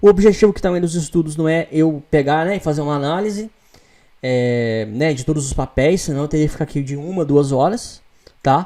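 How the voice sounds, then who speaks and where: A fairly quick pace in a Brazilian accent. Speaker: stock market technical analyst. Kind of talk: tutorial. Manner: fast.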